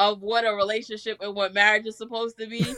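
A woman talks with a New York accent at a fairly high pitch. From Staten Island, New York. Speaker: rapper and music artist. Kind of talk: casual interview.

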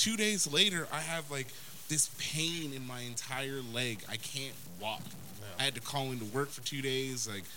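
Audible room echo surrounds a man whose bright, sharp, medium-pitched voice moves at a moderate pace with lively intonation. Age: 30s. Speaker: podcast co-host. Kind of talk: casual chat.

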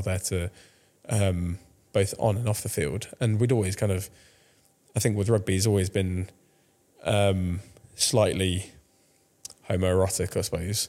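A man with a southern English accent speaks at a fairly low pitch with a dark, mellow tone. His delivery is monotone and flat at a moderate pace, with long, frequent pauses. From France, then England from 2005. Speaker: cancer survivor. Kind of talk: casual interview. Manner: hesitant, many fillers.

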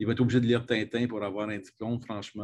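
In a Quebec accent, a man speaks very fast at a fairly low pitch. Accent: Québécois French. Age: 50s. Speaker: comics scholar and university program director. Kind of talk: interview.

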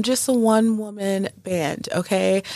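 Here a woman speaks at a medium pitch. Her pace is very slow. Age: 30s. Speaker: podcast host. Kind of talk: casual monologue.

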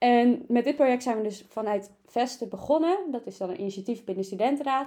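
Her voice has a dark, mellow tone as this woman talks at a very fast pace. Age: 20s. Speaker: student council member, podcast co-host. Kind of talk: casual chat. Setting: studio.

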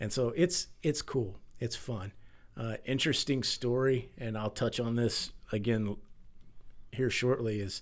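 A man with a Texan accent, medium pitch, ordinary pitch variation and a moderate pace. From Texas. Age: 40s. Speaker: firefighter and milk bank founder. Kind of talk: interview conversation.

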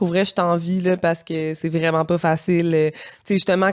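In a very clean recording with a silent background and a dry, close sound with no echo, a woman with a Quebec accent speaks at a moderate pace and medium pitch. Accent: Québécois French. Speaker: single mother by choice, lawyer. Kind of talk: casual interview. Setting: studio.

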